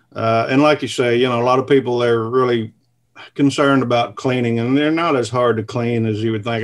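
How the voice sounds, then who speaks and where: The speaker is a man with a Southern US accent. His intonation stays flat and monotone. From US South (southern Missouri). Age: 50s. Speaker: cast iron cooking video creator. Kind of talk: casual interview. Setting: video call from home.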